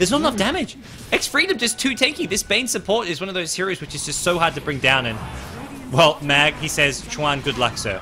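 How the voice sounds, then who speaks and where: A high-pitched man with an American accent and very wide pitch swings, over noticeable background noise. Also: fairly quick pace. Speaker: esports commentator. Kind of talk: live commentary. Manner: fast.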